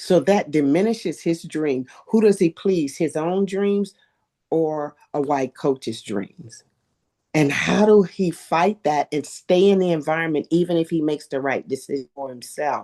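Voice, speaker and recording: Dark and mellow in tone, a woman speaks at a fairly low pitch with ordinary pitch variation, in a dry, close sound with no echo. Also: fairly slow pace. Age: 60s. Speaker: athletics coach and mentor. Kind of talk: podcast interview.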